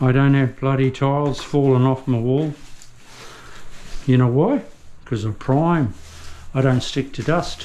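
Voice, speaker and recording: A man with an Australian accent speaks at a medium pitch and fairly slow pace with fairly even intonation and long, frequent pauses. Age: 60s. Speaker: tradesman. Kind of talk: casual chat.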